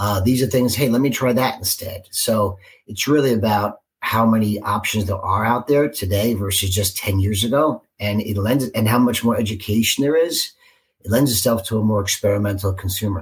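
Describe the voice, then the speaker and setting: Speaking with an American accent, a man uses a fairly low pitch and a somewhat breathy voice. He keeps a moderate pace with ordinary pitch variation. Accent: New York, moderated by Cincinnati. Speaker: marketing executive. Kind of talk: casual interview.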